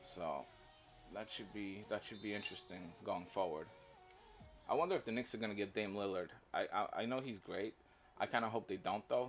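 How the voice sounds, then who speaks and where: Over music in the background, a man with a fairly low pitch talks at a fairly quick pace, using ordinary pitch variation and long, frequent pauses. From Poland. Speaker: gaming livestreamer. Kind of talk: casual livestream chat.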